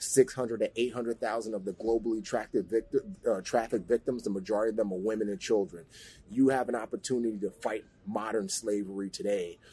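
A man with an American accent talks at a moderate pace and a medium pitch, with ordinary pitch variation. It is a plain, everyday voice. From New York (the Bronx). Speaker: former Navy SEAL and actor. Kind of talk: interview.

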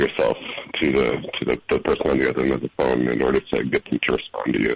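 Noticeable background noise around a man's voice, dry and close with no echo. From Madison. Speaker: caller. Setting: phone.

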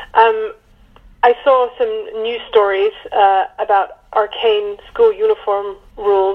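A woman with a British accent. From UK. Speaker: author. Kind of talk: interview. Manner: halting.

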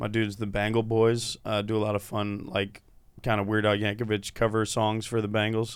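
In an American accent, a man speaks at a fairly quick pace, his fairly low voice held in a monotone, flat intonation. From Cincinnati, Ohio. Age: 30s. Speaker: comedian. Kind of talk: casual chat. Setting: studio.

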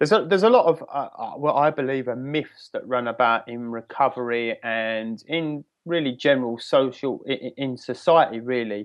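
Speaking at a moderate pace, a man with an English accent has a medium pitch and ordinary pitch variation. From England, near London. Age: 30s. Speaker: recovery coach. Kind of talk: interview.

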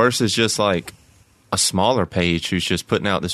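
A man talks with a plain, everyday voice, fairly low in pitch with ordinary pitch variation. The recording is dry and close, with no echo. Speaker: podcast guest. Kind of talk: casual conversation.

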